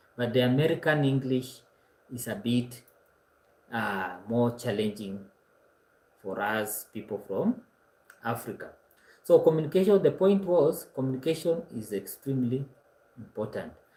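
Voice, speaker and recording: Lively intonation in a Kenyan accent at a moderate pace, with long, frequent pauses and big swings in loudness. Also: man, medium pitch for a man. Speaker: online course instructor. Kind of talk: lecture. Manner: hesitant, frequent uh fillers.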